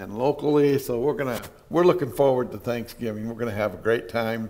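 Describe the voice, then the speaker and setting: A man's speech moves at a moderate pace while light background noise can be heard. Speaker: pastor. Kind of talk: sermon. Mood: warm, nostalgic, light humor. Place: church.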